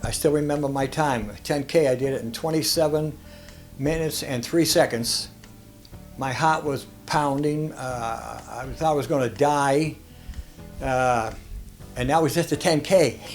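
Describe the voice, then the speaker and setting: Over music in the background, a man with a Boston accent speaks in a fairly high voice with fairly even intonation and long, frequent pauses. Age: 80s+. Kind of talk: interview answer.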